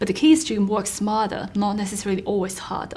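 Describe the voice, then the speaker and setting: A woman speaks with a Chinese accent at a medium pitch. Her pace is fairly quick. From China. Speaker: author and mentor. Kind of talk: interview. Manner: formal.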